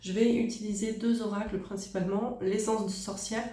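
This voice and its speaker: A woman at a fairly slow pace, fairly even intonation, audible room echo around her. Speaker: tarot card reader. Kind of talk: tarot reading. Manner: hesitant, many fillers.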